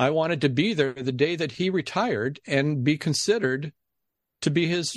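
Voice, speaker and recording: A man with an American accent and a plain, everyday voice, fairly high in pitch, with lively intonation at a moderate pace over a quiet background. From Ohio. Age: 60s. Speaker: game show announcer. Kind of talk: interview storytelling.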